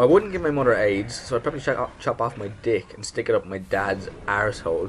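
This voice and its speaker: A man's medium-pitched voice with an Irish accent, delivered at a very fast pace. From Ireland. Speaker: gaming YouTuber. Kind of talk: casual Q&A vlog. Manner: animated.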